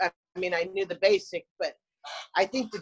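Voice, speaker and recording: A woman's medium-pitched voice with fairly even intonation, in a dry, close sound with no echo. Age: 50s. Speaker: breast cancer survivor, program graduate. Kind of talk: testimony. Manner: halting, with frequent word repetitions.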